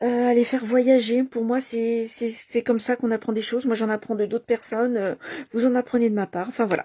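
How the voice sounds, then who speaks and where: Soft-spoken, a woman has a high pitch and a dark, mellow tone. The sound is dry and close with no echo. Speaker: craft demonstrator. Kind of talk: craft tutorial livestream. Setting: home at night. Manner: halting, many fillers.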